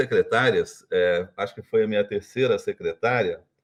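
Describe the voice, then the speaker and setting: A man's plain, everyday voice with ordinary pitch variation at a moderate pace. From Brazil, Minas Gerais. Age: 60s. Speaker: retired business executive. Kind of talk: interview.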